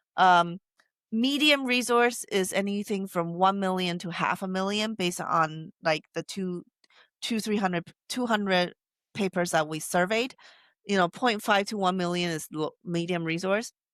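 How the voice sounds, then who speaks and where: A woman with a Taiwanese accent, medium in pitch with ordinary pitch variation, at a moderate pace, in a dry, close sound with no echo on a very clean recording with a silent background. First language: Taiwanese Hokkien. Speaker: AI researcher. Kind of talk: interview. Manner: halting.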